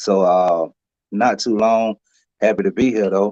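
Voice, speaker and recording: The speaker has an Alabama accent and talks at a fairly slow pace with fairly even intonation. The sound is dry and close, with no echo. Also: man. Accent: US Southern (Alabama). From Alabama, Lowndes County. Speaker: singer and truck driver. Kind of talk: interview. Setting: live stream.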